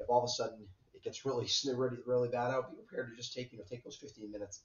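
Audible room echo surrounds a man speaking at a very fast pace in a somewhat breathy voice. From southern Vermont. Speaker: weather forecaster. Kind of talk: weather forecast. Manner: hesitant, many fillers.

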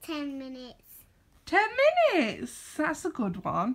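A woman speaks with a British accent. Her intonation is lively. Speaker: vlogger. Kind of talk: casual vlog chat. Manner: animated, laughs often.

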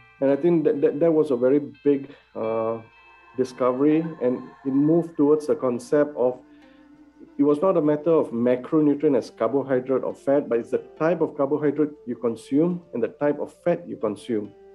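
With faint music in the background, a man speaks at a moderate pace and with ordinary pitch variation. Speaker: guest. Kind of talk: interview answer. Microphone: video call.

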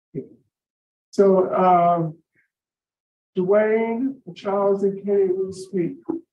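Someone with an American accent speaks at a very slow pace amid audible room echo and light background noise. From US South. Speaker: parole board chairman. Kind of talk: formal hearing. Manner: hesitant, many fillers. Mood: formal, procedural. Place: meeting room. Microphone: video call.

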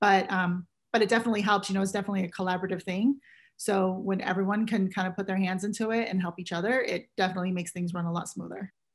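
Someone talks at a very fast pace in an American accent, somewhat breathy and flat in intonation. The background is quiet. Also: woman. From US West Coast, San Francisco Bay Area. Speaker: casting director. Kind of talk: interview. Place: home room. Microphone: webcam.

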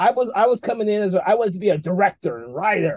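A man with an American accent talks at a very fast pace. The background is quiet. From United States. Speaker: film festival host and founder. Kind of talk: interview. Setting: video call. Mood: friendly, upbeat. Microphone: video call.

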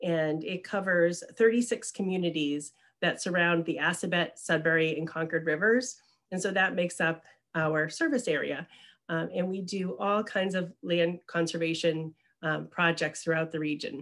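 With a plain, everyday voice, a woman speaks at a fairly low pitch and a moderate pace. Her pitch varies in an ordinary way, and the background is quiet. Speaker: presenter. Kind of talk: presentation. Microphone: webcam.

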